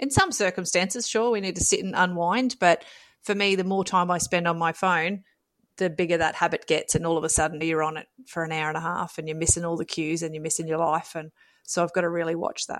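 In a very clean recording with a silent background, someone speaks very fast with an Australian accent. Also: woman, fairly low pitch for a woman, fairly even intonation. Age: 30s. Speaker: mum with ADHD, family support worker. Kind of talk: casual chat.

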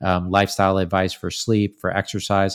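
Recorded very cleanly against a silent background, a man speaks at a moderate pace in a very deep, low voice. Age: 30s. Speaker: supplement company founder and CEO. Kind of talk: podcast interview.

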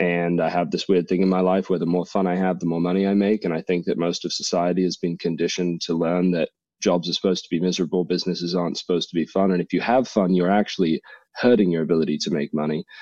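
Against a quiet background, a man speaks at a very fast pace in a very deep, low pitch, with a dark, mellow tone, monotone, flat intonation and a dry, close sound with no echo. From England and US. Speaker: copywriter and comedian. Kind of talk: casual interview chat.

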